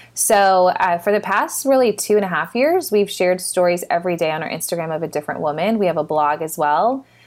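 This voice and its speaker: Speaking very fast, the talker has an American accent. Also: woman, medium pitch for a woman, ordinary pitch variation, hardly any pauses, very clean recording, silent background. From Texas. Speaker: nonprofit founder. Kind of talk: casual interview chat.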